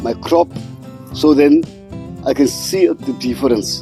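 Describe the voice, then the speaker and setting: A man talks very slowly. Behind him, music plays. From South Africa. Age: 70s. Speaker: urban home grower. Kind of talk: interview answer.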